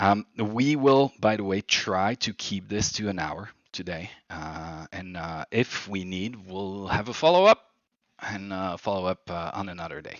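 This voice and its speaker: In a French accent, a man talks at a fairly slow pace and a fairly low pitch, with ordinary pitch variation and big swings in loudness. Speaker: livery design workshop leader. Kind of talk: online workshop presentation. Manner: hesitant, many fillers.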